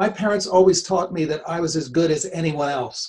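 A man's fairly high-pitched voice comes out somewhat breathy. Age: 70s. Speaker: retired classmate. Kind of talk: casual chat.

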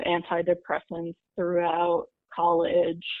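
A fairly low-pitched woman's voice in an American accent. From US Northeast, New York City suburbs and Connecticut. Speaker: mental health interviewee. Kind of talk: interview testimony.

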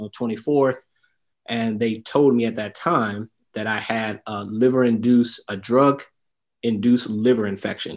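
A man with an American accent has an ordinary speaking voice at a medium pitch. His intonation is fairly even over a quiet background. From Detroit, Michigan. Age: 50s. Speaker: entrepreneur and military veteran. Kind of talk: interview testimony.

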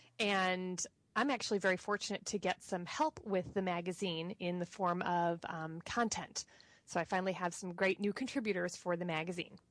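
A woman's medium-pitched voice at a moderate pace, with ordinary pitch variation and a dry, close sound with no echo. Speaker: tarot student. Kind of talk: casual chat. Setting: video call. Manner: animated.

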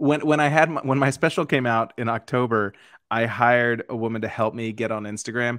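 Against a quiet background, a man in a normal speaking voice talks at a fairly quick pace, medium pitch and fairly even intonation. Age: 40s. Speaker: comedian. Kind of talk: casual chat.

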